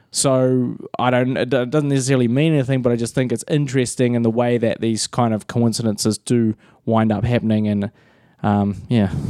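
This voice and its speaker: Here a man with a New Zealand accent speaks at a fairly quick pace and medium pitch. The recording is very clean with a silent background. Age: 30s. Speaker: filmmaker and pro wrestler. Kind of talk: casual chat.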